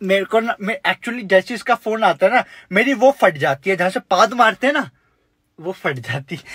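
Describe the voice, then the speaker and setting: The man's tone is bright and sharp, and the background stays quiet. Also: moderate pace. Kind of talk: comic skit dialogue in Hindi. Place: car. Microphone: phone near.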